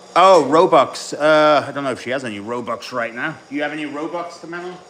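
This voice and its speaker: A very fast man's voice, fairly high in pitch with ordinary variation, big swings in loudness, and noticeable background noise. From mixed: English father, Swiss mother, school in Ireland. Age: 30s. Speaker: bodybuilding coach. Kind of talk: casual live stream chat during training.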